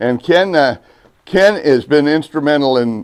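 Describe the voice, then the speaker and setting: A man with a fairly high pitch and an ordinary speaking voice, at a moderate pace. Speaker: host and interviewer, video channel owner. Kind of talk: casual interview questions during a museum tour.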